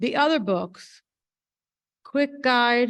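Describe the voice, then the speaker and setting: The pace is very slow. A woman speaks with ordinary pitch variation. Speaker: school board member. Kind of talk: public meeting remarks. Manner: halting.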